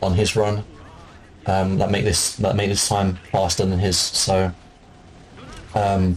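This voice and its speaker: Noticeable background noise sits behind a man whose fairly low voice keeps a fairly even intonation. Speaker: gaming speedrunner. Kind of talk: gameplay commentary tutorial. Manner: hesitant, many fillers; fast.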